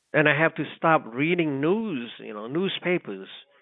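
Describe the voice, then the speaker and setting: Speaking at a fairly slow pace, a man talks with a Cambodian accent. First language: Khmer. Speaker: radio co-host, war survivor. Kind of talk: casual chat. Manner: halting.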